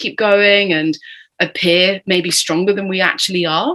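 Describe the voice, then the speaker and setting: With a British accent, a woman of medium pitch talks at a moderate pace. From Britain. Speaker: entrepreneur, burnout survivor. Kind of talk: podcast interview.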